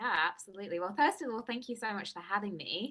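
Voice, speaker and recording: A woman with an English accent and ordinary pitch variation. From England. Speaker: nutrition and wellness coach. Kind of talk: interview.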